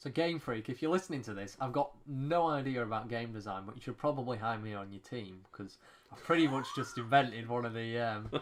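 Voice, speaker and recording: Talking at a fairly quick pace, a man uses an unremarkable speaking voice at medium pitch. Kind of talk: casual podcast conversation.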